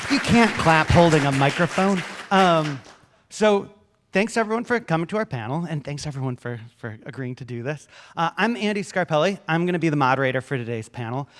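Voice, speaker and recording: Here a man with a fairly high voice speaks at a fairly quick pace, his intonation lively. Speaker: panel moderator. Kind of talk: panel discussion moderation. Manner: loud.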